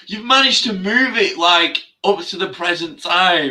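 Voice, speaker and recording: A man speaks at a fairly slow pace in a raised, projected voice, animated in tone, with very wide pitch swings. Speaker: paranormal livestream host. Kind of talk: casual chat. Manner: loud.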